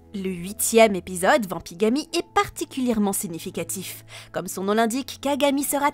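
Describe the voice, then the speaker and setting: A woman speaks at a moderate pace with lively intonation and a fairly high pitch. The sound is dry and close with no echo, and music plays in the background. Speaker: YouTuber discussing cartoon series. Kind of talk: scripted narration.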